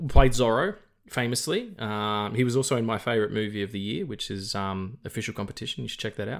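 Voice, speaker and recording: A man talks with ordinary pitch variation. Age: 40s. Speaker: film podcast host. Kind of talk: casual chat. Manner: animated.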